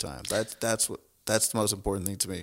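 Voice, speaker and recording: A man with an American accent speaks in an ordinary speaking voice at a fairly quick pace, his pitch fairly low and his intonation fairly even. The recording is very clean, with a silent background. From Texas, Houston area. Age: 30s. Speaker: city council candidate and gym owner. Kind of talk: interview.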